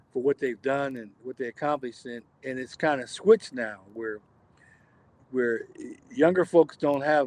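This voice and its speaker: In a normal speaking voice, a man talks at medium pitch and moderate pace with ordinary pitch variation, the sound dry and close with no echo. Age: 60s. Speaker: jazz drummer. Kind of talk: casual chat.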